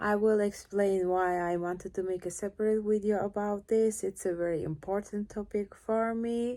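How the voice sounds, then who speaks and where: A woman speaks at a medium pitch with a dark, mellow tone, monotone and flat. She keeps a moderate pace with hardly any pauses on a very clean recording with a silent background. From Turkey. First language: Turkish. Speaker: cellist. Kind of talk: casual Q&A vlog. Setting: home, lying on couch in living room. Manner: shy, awkward.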